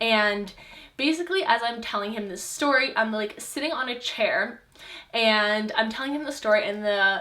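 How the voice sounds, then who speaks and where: Bright, sharp tone from a woman at a fairly high pitch, with lively intonation and audible room echo. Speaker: lifestyle vlogger. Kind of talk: personal testimony vlog. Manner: casual, filler-heavy.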